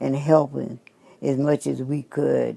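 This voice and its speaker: A woman's very deep, low voice with a Southern US accent, dark and mellow in tone, at a fairly slow pace. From Louisiana. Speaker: trained nurse's aide. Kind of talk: interview answer.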